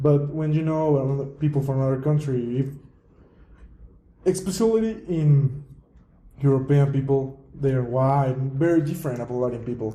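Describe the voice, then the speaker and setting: Somewhat breathy, a man with a fairly high pitch and a dark, mellow tone speaks at a moderate pace with ordinary pitch variation. He takes long, frequent pauses, and audible room echo surrounds his voice. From Mexico. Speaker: podcast host. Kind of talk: casual chat.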